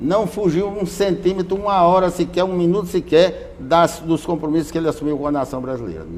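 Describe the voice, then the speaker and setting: Here a man speaks with a high pitch, ordinary pitch variation, and a moderate pace. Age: 80s+. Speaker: former state deputy and trade unionist. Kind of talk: interview testimony.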